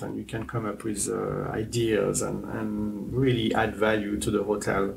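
Speaking at a moderate pace with a French accent, a man is heard against noticeable background noise. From France. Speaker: hotel general manager. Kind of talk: interview. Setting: on location in a hotel. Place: home room. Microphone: lapel.

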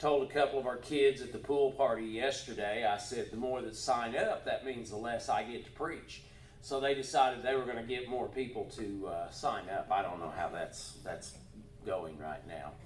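A man speaks with lively intonation. Light background noise and audible room echo surround him. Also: moderate pace. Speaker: pastor. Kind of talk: church announcements. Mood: warm, joking. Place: church. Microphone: camera far.

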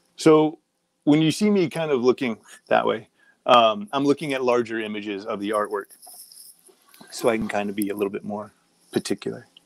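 Talking at a fairly quick pace with ordinary pitch variation, a man leaves long, frequent pauses. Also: dry sound with no echo. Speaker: comic artist hosting online convention. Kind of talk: live portfolio review. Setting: home office livestream. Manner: casual with many fillers. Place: home room.

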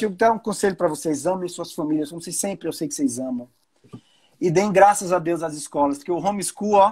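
Against a quiet background, the words come at a fairly quick clip. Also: man. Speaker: live stream host. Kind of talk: casual live stream talk. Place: home room. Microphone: earbuds.

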